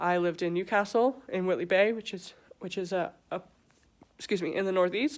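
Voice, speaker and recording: Very clean recording with a silent background of a woman at medium pitch, moderate pace and ordinary pitch variation. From southern England, Stevenage, Hertfordshire. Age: 20s. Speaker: vlogger. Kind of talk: personal testimony.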